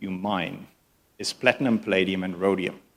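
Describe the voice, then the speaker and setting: A man with a Dutch accent. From Netherlands. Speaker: mining consultancy CEO. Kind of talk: conference keynote. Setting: conference stage with live translators.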